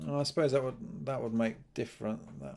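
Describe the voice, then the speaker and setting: A mumbling man at medium pitch and a moderate pace. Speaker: game programmer live streamer. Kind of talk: live coding stream. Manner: hesitant.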